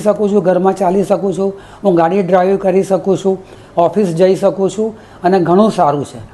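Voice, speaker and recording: Over noticeable background noise, a man with a high pitch speaks in a monotone, flat intonation. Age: 70s. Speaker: patient. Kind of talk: testimony. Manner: halting.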